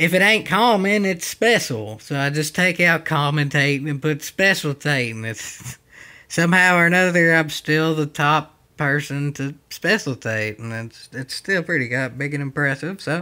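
In a Southern US accent, a man with a fairly high pitch and a bright, sharp tone talks at a moderate pace with lively intonation on a very clean recording with a silent background. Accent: puts on a country accent for videos. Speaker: YouTuber doing commentary on his own old video. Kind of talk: casual commentary.

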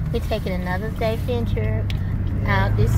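A woman speaks while loud background noise fills the recording. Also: dry sound with no echo. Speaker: vlogger. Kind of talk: casual vlog chat. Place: car. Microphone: phone near.

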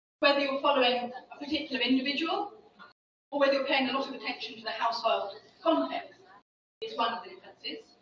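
Recorded with audible room echo and light background noise, a woman speaks. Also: ordinary pitch variation. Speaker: social science researcher. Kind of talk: lecture. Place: hall.

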